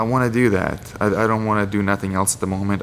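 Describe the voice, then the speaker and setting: A man's monotone, flat delivery with a Lithuanian accent, over noticeable background noise. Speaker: MMA fighter. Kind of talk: interview monologue.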